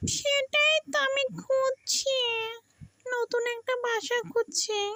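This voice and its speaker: A woman puts on a cartoonish character voice, extremely high in pitch and delivered at a very slow pace. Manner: chatty, talks to itself.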